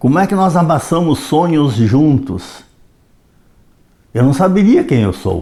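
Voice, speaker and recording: A man with a fairly high, somewhat breathy voice talks at a fairly slow pace. His pitch swings very widely, and he leaves long, frequent pauses. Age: 80s+. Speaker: retired history educator. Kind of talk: reflective monologue.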